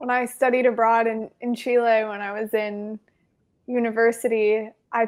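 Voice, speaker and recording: Her pitch fairly high and her intonation monotone and flat, a woman speaks at a moderate pace in a very clean recording with a silent background. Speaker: podcast host. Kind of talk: podcast hosting, casual talk.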